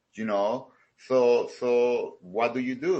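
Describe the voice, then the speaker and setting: A man talks with a Salvadoran accent. His pitch sits in the medium range. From El Salvador. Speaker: karate studio owner. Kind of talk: interview. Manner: halting, many fillers.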